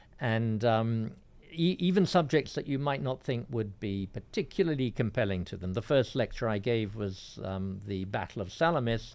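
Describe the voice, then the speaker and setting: A man with a southern English accent speaks at a moderate pace and medium pitch with lively intonation, in a very clean recording with a silent background. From England, northwest London. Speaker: classics professor. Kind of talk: radio interview. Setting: radio studio.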